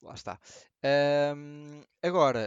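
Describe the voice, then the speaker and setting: This man speaks with a European Portuguese accent and a fairly high pitch. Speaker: podcast co-host and streamer. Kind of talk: casual chat.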